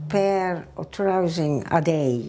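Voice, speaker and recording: Speaking at a very slow pace, a woman has a strong Italian accent and a fairly low pitch. Light background noise can be heard. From northern Italy. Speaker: immigrant recounting her life story. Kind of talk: personal testimony, oral history. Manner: halting, with broken grammar. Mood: warm, reflective. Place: kitchen. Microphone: lapel.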